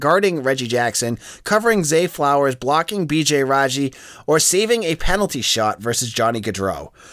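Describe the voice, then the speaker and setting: This voice carries a Boston accent. Its pitch swings very widely. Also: man. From Boston area. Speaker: sports podcast host. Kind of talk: casual sports podcast monologue.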